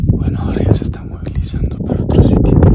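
Whispering at a moderate pace, a man comes through noticeable background noise. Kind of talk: casual talk to camera. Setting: outdoors.

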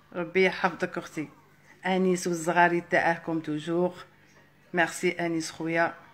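Fairly low-pitched female voice at a moderate pace, monotone and flat in intonation. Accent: Algerian. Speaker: live streamer. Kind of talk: live stream chat. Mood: warm, friendly. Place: home room. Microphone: phone near.

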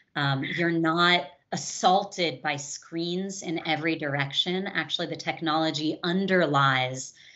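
With a quiet background, a woman speaks at a very deep, low pitch with fairly even intonation. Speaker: interview guest. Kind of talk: interview answer. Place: home room. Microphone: video call.

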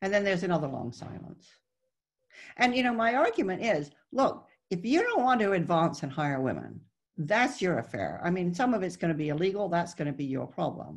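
Over a quiet background, a woman with vocal fry and a fairly low pitch speaks at a fairly quick pace with very wide pitch swings. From raised in the Netherlands, born in Texas. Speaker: author and former CEO; interviewee. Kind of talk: interview on a webinar panel. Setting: video call. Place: home room. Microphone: video call.

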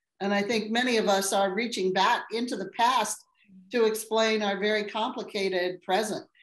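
A woman's fairly high voice with fairly even intonation and audible room echo. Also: moderate pace, quiet background. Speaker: architectural historian and panel moderator; panel moderator. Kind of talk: moderating a webinar panel. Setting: webinar video call. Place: home room. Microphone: video call.

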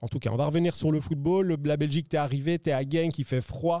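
Over a quiet background, a man talks at a very fast pace in a dark, mellow tone, with a dry sound and no echo. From Belgium. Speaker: poker show host; stream host. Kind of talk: casual chat with poker commentary. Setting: studio. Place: studio. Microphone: studio mic.

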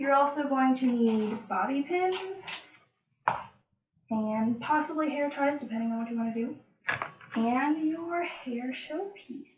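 Noticeable background noise sits behind a woman's voice. She speaks at a very slow pace in a high pitch. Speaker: hair tutorial host. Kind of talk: tutorial. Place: bathroom.

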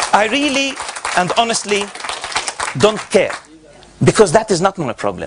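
A man with an Arabic accent talks at a moderate pace, the sound dry with no echo and noticeable noise in the background. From Gaza, Palestine. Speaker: professor. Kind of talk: lecture. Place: hall. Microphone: podium.

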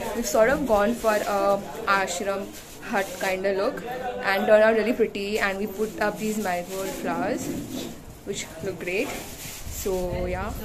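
At a fairly slow pace, a woman talks at a medium pitch with little pitch movement over clear background noise.

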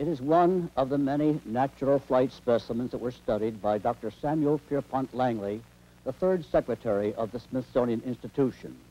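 With a dark, mellow tone, a man talks at a medium pitch and moderate pace, his pitch varying in an ordinary way.

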